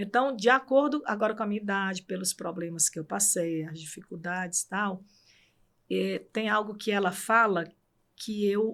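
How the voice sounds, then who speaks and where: With a Cearense accent, the speaker talks at a moderate pace and shows ordinary pitch variation. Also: woman, medium pitch for a woman. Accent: Cearense Brazilian Portuguese. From Brazil, Ceará (Fortaleza). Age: 60s. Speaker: court administrator. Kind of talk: interview.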